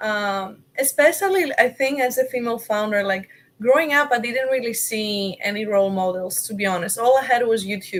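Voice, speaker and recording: Speaking at a moderate pace, a woman has a fairly high voice and ordinary pitch variation. She leaves hardly any pauses. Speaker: startup founder. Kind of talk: interview. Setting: live online stream.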